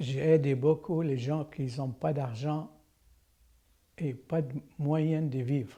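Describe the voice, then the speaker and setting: Speaking very slowly, a man leaves long, frequent pauses. His pitch is fairly high. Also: fairly even intonation. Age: 80s+. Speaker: general practitioner. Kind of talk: interview answer.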